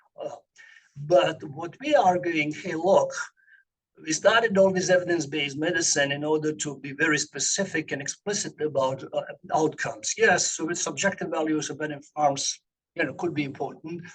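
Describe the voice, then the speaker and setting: Speaking at a fairly quick pace, a man with a fairly high pitch shows ordinary pitch variation. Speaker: medical researcher giving a talk. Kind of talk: lecture. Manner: fast; halting, many fillers.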